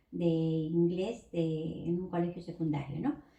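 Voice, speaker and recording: Somewhat breathy and dark, mellow in tone, a woman speaks at a fairly low pitch. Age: 60s. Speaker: pharmacy technician. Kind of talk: interview.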